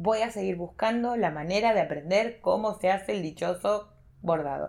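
With a Rioplatense accent, a woman speaks at medium pitch and a moderate pace, her intonation lively. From Argentina, Buenos Aires province (small town). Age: 30s. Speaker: embroidery teacher and textile artisan. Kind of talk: casual interview chat.

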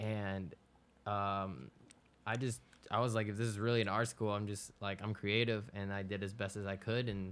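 A man with a fairly low pitch delivers a monotone, flat intonation at a fairly quick pace on a very clean recording with a silent background. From Florida, West Palm Beach (born Ecuador). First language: Spanish. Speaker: music producer. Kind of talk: casual interview.

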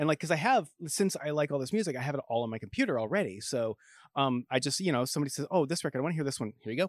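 In a very clean, dry recording with no echo and a silent background, a man with an American accent and fairly high pitch talks at a very fast pace with lively intonation. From US Pacific Northwest. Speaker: record store owner. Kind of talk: casual chat.

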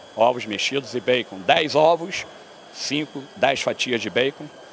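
This man talks fairly slowly with lively intonation, noticeable background noise behind him. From Brazil, Rio de Janeiro. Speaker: endurance athlete. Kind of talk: interview. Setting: conference venue.

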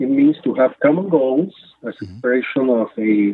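The voice has ordinary pitch variation and a Spanish accent. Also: man. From Nicaragua. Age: 50s. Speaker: faith-based water program director. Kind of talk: podcast interview. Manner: halting, many fillers.

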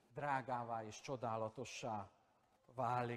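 A man's voice with ordinary pitch variation. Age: 50s. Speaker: pastor. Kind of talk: sermon. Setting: church. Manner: animated.

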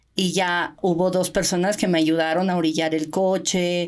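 A woman's fairly low-pitched voice at a fairly slow pace, on a very clean recording with a silent background. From Mexico. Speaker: Olympic swimmer and open-water coach. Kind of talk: casual interview.

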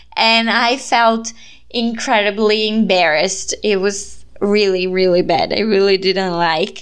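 A woman with a Brazilian accent at medium pitch, fairly slow in pace, with fairly even intonation and very even loudness. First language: Portuguese. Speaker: podcast host and student volunteer. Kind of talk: casual chat.

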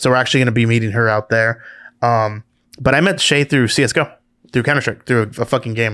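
Speaking very fast, a man uses a medium pitch with ordinary pitch variation and a bright, sharp tone. The recording is very clean and the background silent. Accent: Southern California. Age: 30s. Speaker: entrepreneur and podcast co-host. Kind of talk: casual chat. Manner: animated.

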